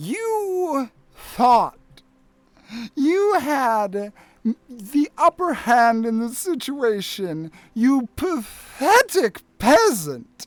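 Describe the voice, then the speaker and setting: The speaker uses a put-on character voice at fairly high pitch with very wide pitch swings. It moves at a very slow pace with long, frequent pauses. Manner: menacing, contemptuous.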